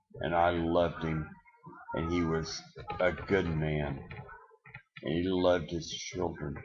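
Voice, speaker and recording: Speaking at a fairly slow pace with long, frequent pauses, a man with a very deep, low voice keeps a monotone, flat intonation amid audible room echo. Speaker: self-declared presidential candidate. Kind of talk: webcam monologue. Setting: webcam recording. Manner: slurred-sounding.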